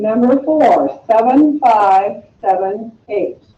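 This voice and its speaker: A woman with a fairly high pitch speaks at a very slow pace, her voice making very wide pitch swings. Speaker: math teacher. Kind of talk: classroom lesson.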